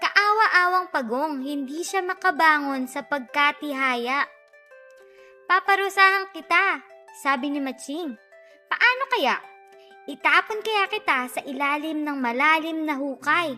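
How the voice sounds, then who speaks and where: A woman's high, raised and projected voice over music in the background. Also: lively intonation, fairly slow pace. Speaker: voice-over artist. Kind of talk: children's read story.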